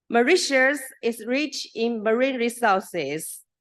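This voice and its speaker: Speaking very slowly in a Chinese accent, a woman lets her pitch swing very widely. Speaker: professor. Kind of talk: conference presentation. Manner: halting.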